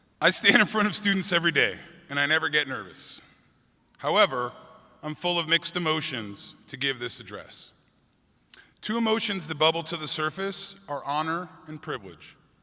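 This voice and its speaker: A man's fairly high, bright, sharp voice with vocal fry, lively intonation, big swings in loudness, long, frequent pauses and a moderate pace. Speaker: high school teacher, commencement speaker. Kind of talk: commencement speech. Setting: stage with audience, convention center.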